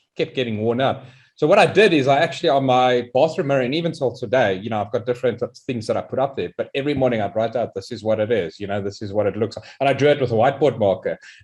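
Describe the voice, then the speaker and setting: With a South African accent, a man speaks at a very fast pace. His medium pitch shows ordinary variation. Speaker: interviewer. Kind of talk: casual chat. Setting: live stream.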